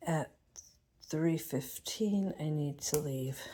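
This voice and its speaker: A woman speaks at a very slow pace with a very deep, low pitch and ordinary pitch variation. Her tone is dark and mellow, and somewhat breathy. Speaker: homeschooling mother vlogger. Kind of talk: casual vlog narration. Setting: at home, early morning. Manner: quiet, trying to be quiet.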